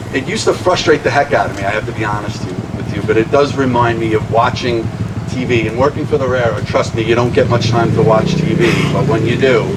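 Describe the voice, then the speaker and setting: A man's medium-pitched voice in a Long Island accent at a very fast pace, with ordinary pitch variation, audible room echo and noticeable background noise. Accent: Long Island New York. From Long Island, New York. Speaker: railroad executive. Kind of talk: public speech.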